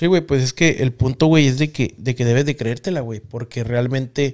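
The speech moves at a moderate pace with ordinary pitch variation, in a plain, everyday voice. The background is quiet. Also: man. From Mexico. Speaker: podcast host. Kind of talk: casual chat. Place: studio. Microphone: studio mic.

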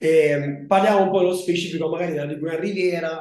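Audible room echo surrounds a dark, mellow tone that shows ordinary pitch variation. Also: man. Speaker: tourism destination manager, former master's student. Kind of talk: online presentation to prospective students. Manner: halting, with fillers and restarts. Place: home room. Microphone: video call.

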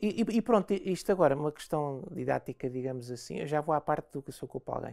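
With a European Portuguese accent, a woman talks at a fairly quick pace with very wide pitch swings and a dark, mellow tone. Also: quiet background. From Portugal. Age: 50s. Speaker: interview guest. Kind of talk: interview. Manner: halting, many repetitions and fillers. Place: studio.

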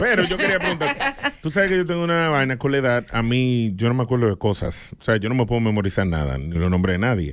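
The man's pitch swings very widely while his loudness stays very even. He talks very fast, with hardly any pauses. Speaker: radio host. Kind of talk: radio show hosting. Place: studio. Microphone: studio mic.

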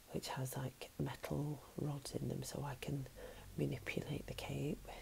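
Soft-spoken, a woman talks over noticeable background noise. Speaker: vlogger. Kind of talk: casual vlog chat. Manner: soft-spoken ASMR voice, close to mic. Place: home room. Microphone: earbuds.

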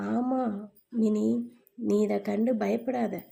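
This woman's voice sits at a fairly high pitch. Her tone is dark and mellow. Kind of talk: children's moral story narration. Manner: casual, storytelling to children.

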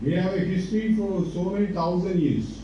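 With a Sri Lankan accent, a man speaks at a moderate pace in a high pitch for a man, with ordinary pitch variation, light background noise and strong room echo. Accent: Sri Lankan Tamil English. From Sri Lanka, Jaffna. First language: Tamil. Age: 60s. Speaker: university vice chancellor. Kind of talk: ceremonial speech. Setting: stage with audience. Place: hall.

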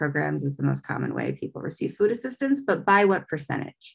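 The speaker is a woman. Nothing much sounds behind her. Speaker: nonprofit outreach director, presenter. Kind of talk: educational presentation. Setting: video call. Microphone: webcam.

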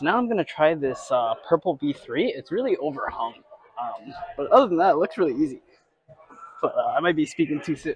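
The pace is fairly quick. The sound is dry, with no echo. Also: man. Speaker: climber vlogger. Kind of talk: casual vlog chat. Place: gym. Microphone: lapel.

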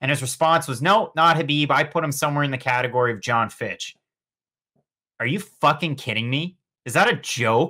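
A man's fairly high, bright and sharp voice, animated in tone with lively intonation, over a quiet background. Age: 20s. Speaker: MMA podcast co-host. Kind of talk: casual chat. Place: home room.

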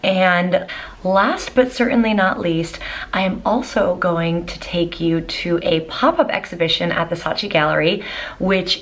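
A woman speaks at a fairly slow pace. Her fairly low pitch shows ordinary variation. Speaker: travel vlogger. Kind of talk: casual vlog chat. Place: home room. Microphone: phone near.

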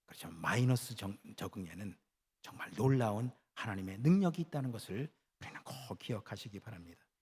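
The voice is somewhat breathy, with very wide pitch swings. The pace is fairly quick. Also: man, medium pitch for a man, big swings in loudness. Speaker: pastor. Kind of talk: sermon. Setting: church.

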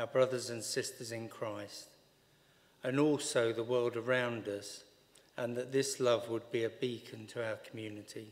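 The speech moves at a fairly slow pace with fairly even intonation, and audible room echo surrounds it. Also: man.

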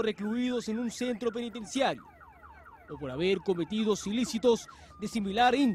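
The pace is moderate and the pitch varies in an ordinary way. Background noise is noticeable. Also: man. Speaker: TV news reporter. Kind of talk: news narration.

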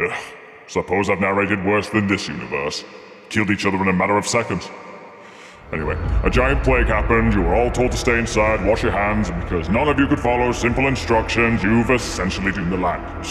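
A man does a cartoonish character voice at a fairly low pitch. He talks at a very fast pace against clear background noise. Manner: sarcastic, exasperated.

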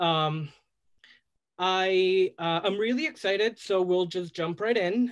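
A man's high-pitched voice at a very slow pace, against a quiet background. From El Salvador. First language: Spanish. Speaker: drag performer. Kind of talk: casual chat. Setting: video call. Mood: warm, enthusiastic. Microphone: video call.

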